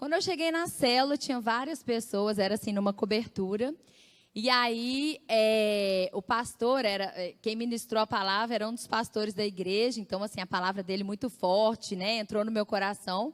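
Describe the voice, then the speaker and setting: Her voice fairly high, a woman talks at a moderate pace with ordinary pitch variation. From Brazil, Belo Horizonte (Minas Gerais). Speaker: church speaker giving testimony. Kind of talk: testimony.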